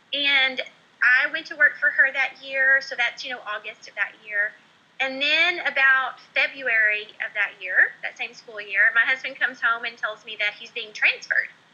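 This woman has an American accent and a high voice with ordinary pitch variation. She speaks at a moderate pace over noticeable background noise. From Oklahoma. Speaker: former teacher turned entrepreneur. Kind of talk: interview.

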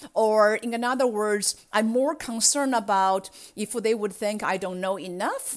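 In a very clean recording with a silent background, a woman speaks at a fairly slow pace with a medium pitch and ordinary pitch variation. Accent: Chinese. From China. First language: Chinese. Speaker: cybersecurity executive. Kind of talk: interview.

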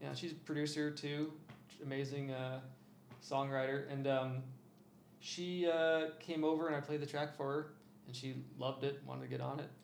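Audible room echo surrounds a man with a Midwestern American accent who speaks at a moderate pace in a fairly high pitch, with monotone, flat intonation and long, frequent pauses. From Iowa. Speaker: DJ and electronic music producer. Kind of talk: casual interview chat. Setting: studio, in person.

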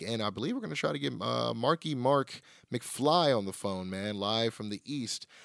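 In an ordinary speaking voice, a man talks at a moderate pace in a medium pitch with ordinary pitch variation. The sound is dry and close with no echo, on a very clean recording with a silent background. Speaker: wrestling podcast host. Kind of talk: casual podcast chat, show review and promo. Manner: casual, conversational, filler words.

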